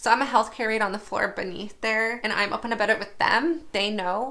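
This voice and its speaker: Her tone is animated, with ordinary pitch variation. The woman's voice sits fairly high. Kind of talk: casual vlog monologue.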